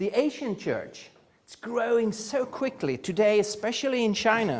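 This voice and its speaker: Speaking with a Swedish accent, a man talks at a high pitch. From Sweden. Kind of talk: conference lecture. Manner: halting, frequent uh fillers.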